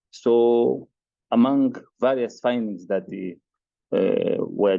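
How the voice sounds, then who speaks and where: A man with a Mozambican accent speaks with ordinary pitch variation. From Mozambique. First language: Portuguese. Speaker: agricultural researcher. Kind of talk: research presentation. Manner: halting, many hesitations.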